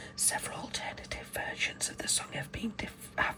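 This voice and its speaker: Fairly quick whispering against noticeable background noise. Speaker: ASMR creator. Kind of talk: reading aloud. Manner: soft-spoken.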